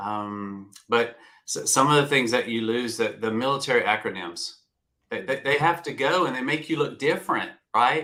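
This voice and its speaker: A man with an American accent speaks at a moderate pace and medium pitch, his tone bright and sharp and his pitch varying normally, on a very clean recording with a silent background. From US South. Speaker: retired navy veteran, career coach. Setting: live video stream.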